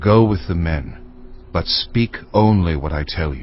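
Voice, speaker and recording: Over clear background noise, a man growls in a put-on character voice with a very deep, low pitch at a moderate pace. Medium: audio drama.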